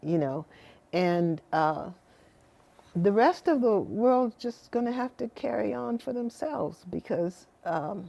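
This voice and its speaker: Very slow and dark, mellow in tone, a woman's voice moves through very wide pitch swings. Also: medium pitch for a woman. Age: 70s. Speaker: mother of a famous singer. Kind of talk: interview. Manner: halting, with many fillers and restarts.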